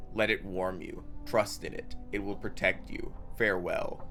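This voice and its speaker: Over clear music in the background, a man does a put-on character voice at a moderate pace with big swings in loudness. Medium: game stream. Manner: calm, measured, short sentences.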